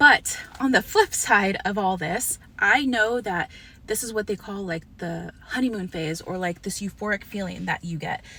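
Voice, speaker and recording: A woman's mid-range voice shows typical pitch movement as she talks at an unhurried, middling speed. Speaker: vlogger sharing personal health experience. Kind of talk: casual vlog talk to camera. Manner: hesitant, many fillers.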